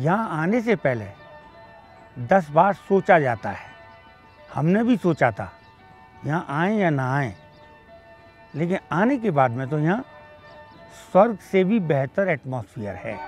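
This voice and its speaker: A man with a fairly high voice talks at a fairly slow pace, his pitch swinging very widely, with long, frequent pauses, dry sound with no echo, and faint music in the background. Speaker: retired college principal. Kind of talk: interview answer. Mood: pleased, smiling. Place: garden.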